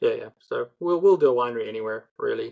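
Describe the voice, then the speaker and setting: Talking very fast, a man speaks with an American accent. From South Africa. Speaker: podcast host, accountant. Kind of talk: casual interview. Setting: podcast.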